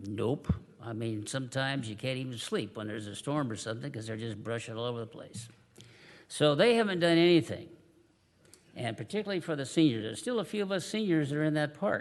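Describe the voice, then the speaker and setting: A man speaks very fast at a medium pitch, his voice swinging very widely up and down. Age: 70s. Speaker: public commenter at city council meeting. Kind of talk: public comment speech. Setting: city council chamber. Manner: halting, many fillers.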